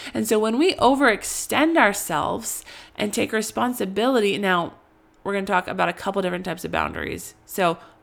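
A woman talks at a fairly quick pace with lively intonation. Her voice has vocal fry. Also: medium pitch for a woman, very clean recording, silent background. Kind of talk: teaching monologue. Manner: halting, stuttering; casual, conversational.

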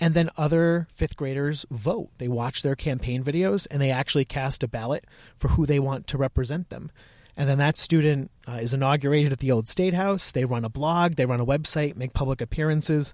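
A man with an American accent, a normal speaking voice, a fairly high pitch, ordinary pitch variation and a fairly quick pace, in a very clean recording with a silent background and a dry, close sound with no echo. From Connecticut. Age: 20s. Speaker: museum educator. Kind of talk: interview.

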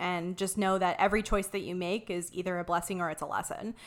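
A woman with a normal speaking voice and an American accent, medium in pitch, with ordinary pitch variation at a fairly quick pace. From Ohio, small town. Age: 30s. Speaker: graphic designer and marketing business owner. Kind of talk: casual interview.

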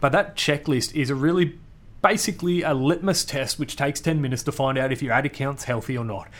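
A man with an Australian accent, very fast and energetic, fairly high in pitch, with ordinary pitch variation. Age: 30s. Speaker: marketing podcast host. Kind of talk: solo podcast Q&A. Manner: casual, energetic.

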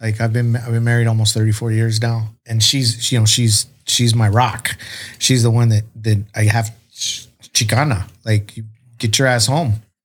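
A man's somewhat breathy voice with an American accent, medium pitch and a flat monotone, at a moderate pace. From US, San Diego area. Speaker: streetwear designer and lowrider artist. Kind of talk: casual chat. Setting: studio.

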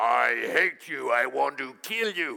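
A man does a put-on character voice. He goes at a fairly slow pace. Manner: menacing, hateful.

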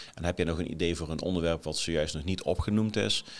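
A man's very deep, low voice at a moderate pace on a very clean recording with a silent background. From Nijmegen area, eastern Netherlands. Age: 40s. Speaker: leadership podcaster, former military officer. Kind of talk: solo podcast monologue. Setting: office, on camera. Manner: hesitant, many fillers.

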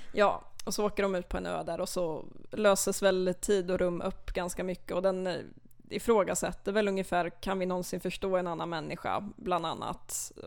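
A woman at a medium pitch, monotone and flat, at a moderate pace, on a very clean recording with a silent background. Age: 20s. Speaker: literature student, literary society chair. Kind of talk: casual interview. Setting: podcast studio.

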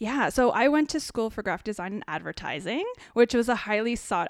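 A woman with a Canadian accent has an unremarkable speaking voice with ordinary pitch variation. She moves at a fairly quick pace on a very clean recording with a silent background. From Ontario, Canada (small town near Kitchener-Waterloo). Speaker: potter, former graphic designer. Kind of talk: casual chat.

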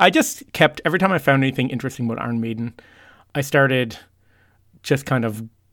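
Over a very clean recording with a silent background, a man of medium pitch talks at a fairly quick pace with ordinary pitch variation. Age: 40s. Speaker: heavy metal podcaster. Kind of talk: casual chat.

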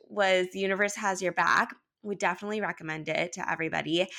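In a very clean recording with a silent background, a woman speaks at a medium pitch with a Californian accent. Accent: Californian American. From Los Angeles, US. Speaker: holistic wellness coach. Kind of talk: casual interview chat.

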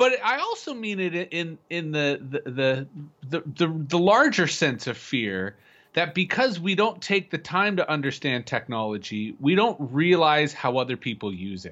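At a fairly slow pace, a man speaks with a fairly high pitch and very wide pitch swings. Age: 40s. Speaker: futurist and public speaker. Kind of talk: casual conversation.

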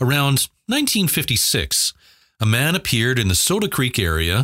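A man's bright, sharp voice carries vocal fry, and his pitch swings very widely. The sound is dry and close, with no echo. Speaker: podcast host narrator. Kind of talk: local history narration, read from a written article. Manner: measured, storytelling tone, building intrigue.

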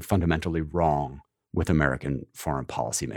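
A man's vocal fry at a fairly quick pace, on a very clean recording with a silent background. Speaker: magazine editor interviewer. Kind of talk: interview questions.

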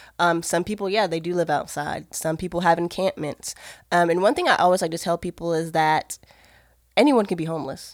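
A woman speaks at a fairly quick pace in a plain, everyday voice, her pitch fairly low with ordinary variation. The recording is very clean with a silent background and a dry, close sound with no echo. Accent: American. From Maryland, US. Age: 30s. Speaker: ministry worker. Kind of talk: casual interview.

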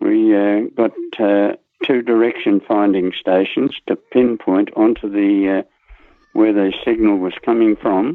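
A man with an Australian accent, fairly low in pitch, fairly slow in pace, with fairly even intonation and very even loudness. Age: 90s. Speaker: war veteran. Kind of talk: interview storytelling.

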